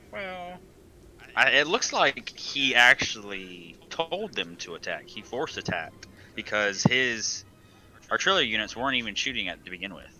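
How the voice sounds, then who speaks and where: Music plays in the background as a voice with an American accent swings very widely in pitch. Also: man, medium pitch for a man, moderate pace. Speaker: game streamer. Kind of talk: live commentary. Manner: halting, stumbles over words.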